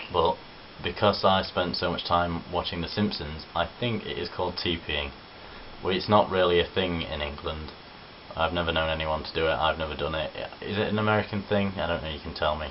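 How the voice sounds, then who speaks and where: A man speaks with a very deep, low pitch and fairly even intonation. Background noise is noticeable. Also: fairly quick pace. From English East Midlands, Worksop, Nottinghamshire. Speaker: vlogger. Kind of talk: casual vlog. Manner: casual, chatty.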